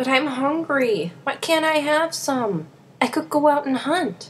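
A female-sounding voice does a put-on character at a high pitch and a fairly slow pace. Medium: voice reel.

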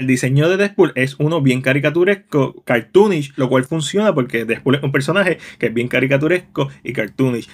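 A man with an ordinary speaking voice talks at a fairly quick pace with hardly any pauses, his fairly high pitch showing ordinary variation. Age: 30s. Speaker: film reviewer. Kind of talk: video review.

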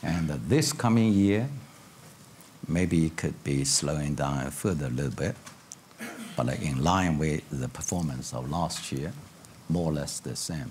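A man's very deep, low voice in a Chinese accent, fairly slow in pace with long, frequent pauses, ordinary pitch variation and light background noise. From China. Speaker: economic policy expert. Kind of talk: panel discussion. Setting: stage with audience. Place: stage. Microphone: lapel.

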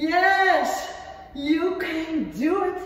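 A woman's extremely high voice in strong room echo. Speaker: fitness instructor. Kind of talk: workout coaching cues. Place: gym.

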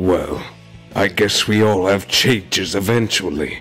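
With clear music behind him, a man puts on a cartoonish character voice at a fairly slow pace and a fairly low pitch. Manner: sly, scheming.

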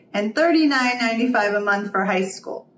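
A woman speaking at a fairly slow pace, with audible room echo and light background noise. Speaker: homeschool reviewer. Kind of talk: product review explainer. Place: home room.

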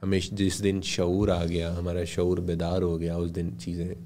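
A man's very deep, low, monotone voice with flat intonation at a very slow pace over light background noise. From Pakistan. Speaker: radio broadcaster and voice-over artist; podcast guest. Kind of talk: casual interview. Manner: formal. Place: studio. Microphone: studio mic.

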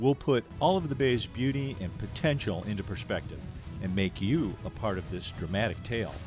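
A man's medium-pitched voice with lively intonation at a moderate pace, music in the background. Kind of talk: promotional trailer narration.

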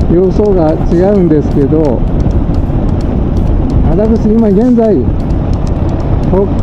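Loud background noise surrounds a man who speaks with long, frequent pauses. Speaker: dental technician and home caregiver. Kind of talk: casual vlog talk to camera. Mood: cheerful, reflective. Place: motorbike. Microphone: helmet.

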